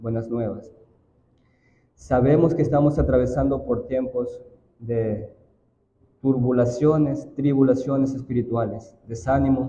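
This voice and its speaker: Long, frequent pauses break up a somewhat breathy voice of dark, mellow tone and fairly even intonation, heard with audible room echo. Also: man, medium pitch for a man, fairly slow pace. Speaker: church elder. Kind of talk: prayer.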